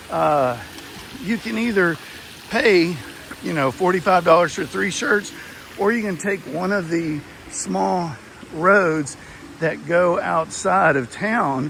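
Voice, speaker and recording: A man with a high pitch and a Texas accent, lively intonation, a very slow pace, and long, frequent pauses, over noticeable background noise. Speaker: travel vlogger. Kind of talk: casual walkthrough review. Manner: hesitant, many fillers.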